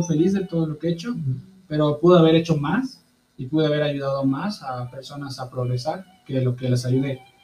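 With an ordinary speaking voice, a man talks at a moderate pace, his pitch fairly high and its variation ordinary. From Mexico, Veracruz. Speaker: missionary. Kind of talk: interview.

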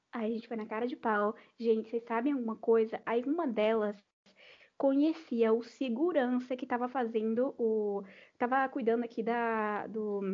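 A woman's fairly high-pitched voice at a moderate pace, with ordinary pitch variation and big swings in loudness. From Brazil, Salvador (Bahia). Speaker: podcast guest, music fan. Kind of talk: casual chat. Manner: animated.

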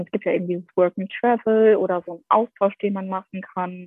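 Her pitch is medium. The speaker is a woman. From Germany, Essen. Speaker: former au pair. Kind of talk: casual chat.

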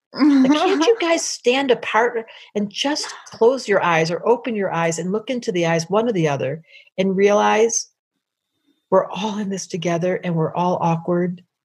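A woman with an American accent speaks at a moderate pace. Her voice is somewhat breathy, and her intonation is lively. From US Midwest (Detroit). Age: 60s. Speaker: astrologer. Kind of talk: casual chat.

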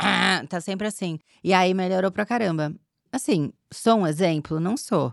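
Dry, close sound with no echo carries a woman's medium-pitched voice. She speaks at a fairly slow pace in an animated tone with lively intonation. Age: 40s. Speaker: podcast guest. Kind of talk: casual chat.

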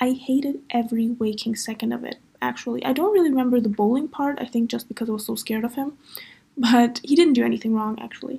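A woman talks at a very fast pace in a high pitch with ordinary pitch variation. Her tone is dark and mellow. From Moldovan family, raised in Germany. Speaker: podcast host. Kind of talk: casual solo monologue. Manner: chatty, informal.

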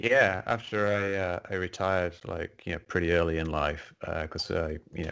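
In an English accent, a man speaks at a very deep, low pitch. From England. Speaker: science writer and skeptic, retired game programmer. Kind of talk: interview. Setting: video call.

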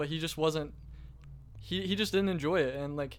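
In a very clean recording with a silent background, a man with a fairly high pitch and a plain, everyday voice talks with fairly even intonation. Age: 20s. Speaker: content creator. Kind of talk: casual chat.

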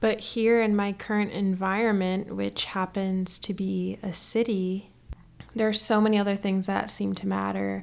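A woman's medium-pitched voice in a relaxed tone. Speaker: podcast host. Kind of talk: solo monologue, casual personal reflection. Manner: slow, relaxed talker.

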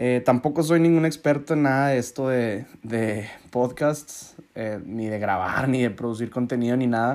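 The speaker is a man with a medium pitch. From Mexico, Hermosillo, Sonora. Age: 20s. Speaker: podcast host. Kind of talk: casual monologue.

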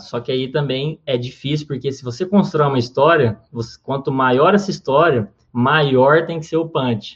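The man's moderately paced speech is somewhat breathy, its pitch shifting by an ordinary amount. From Minas Gerais, Brazil (Uberaba). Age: 20s. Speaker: comedian and comedy writer. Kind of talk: interview.

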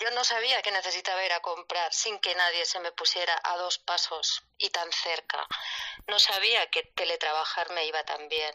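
A woman's fairly low voice shows ordinary pitch variation as she keeps a moderate pace. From Barcelona, Spain. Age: 40s. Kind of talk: casual chat. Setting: Twitter Spaces live audio.

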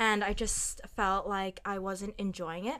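On a very clean recording with a silent background, a woman talks in a plain, everyday voice with fairly even intonation. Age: 20s. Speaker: master's student and retail community leader. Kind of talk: casual chat.

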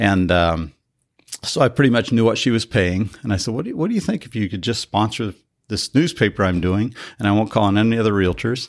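A man with a normal speaking voice and an American accent, fairly low in pitch, at a fairly quick pace with ordinary pitch variation, on a very clean recording with a silent background. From Colorado, small rural town. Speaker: publisher and entrepreneur. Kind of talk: interview conversation.

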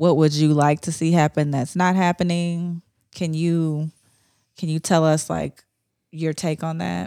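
In a very clean recording with a silent background and a dry, close sound with no echo, a woman with an American accent speaks fairly slowly in a very deep, low pitch, her tone dark and mellow and her intonation monotone and flat. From Ohio. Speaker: podcast host. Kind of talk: casual podcast chat.

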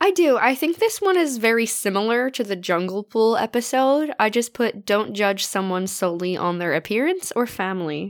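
A woman's fairly high voice at a moderate pace, with very wide pitch swings and hardly any pauses. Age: 20s. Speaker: podcast host. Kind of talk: casual chat.

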